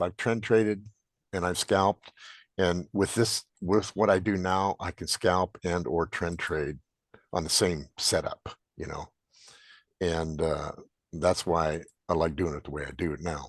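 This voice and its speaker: A man with an American accent speaks at a very deep, low pitch, with ordinary pitch variation and long, frequent pauses. His pace is fairly slow, and the sound is dry and close with no echo over a quiet background. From Montana. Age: 70s. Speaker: trader presenting to a trading group. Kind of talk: Q&A at a group meeting. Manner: casual, halting.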